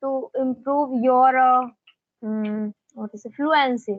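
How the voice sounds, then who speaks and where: Speaking very slowly, a woman uses a high pitch. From India, Madhya Pradesh. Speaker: teacher. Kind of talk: conversation practice.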